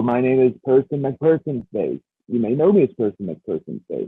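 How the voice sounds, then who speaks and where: A man talks at a moderate pace. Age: 30s. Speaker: podcast co-host. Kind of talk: casual chat. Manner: halting, many fillers.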